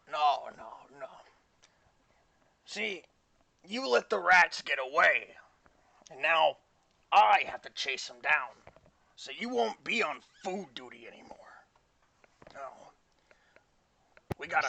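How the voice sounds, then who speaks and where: Putting on a raspy character voice, a man speaks fairly slowly at a fairly high pitch, with very wide pitch swings and long, frequent pauses. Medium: actual play. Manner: gruff, scolding.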